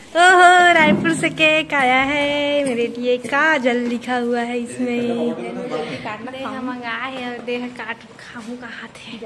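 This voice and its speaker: Noticeable background noise and audible room echo surround a voice with big swings in loudness and ordinary pitch variation. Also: woman. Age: 20s. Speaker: vlogger. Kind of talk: casual vlog chat.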